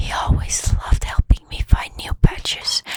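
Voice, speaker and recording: Whispering at a fairly slow pace in a calm, gentle tone, with noticeable background noise. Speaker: ASMR storytime narrator reading Reddit stories over gameplay. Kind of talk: soft-spoken ASMR storytime reading. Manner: soft-spoken, calm, gentle.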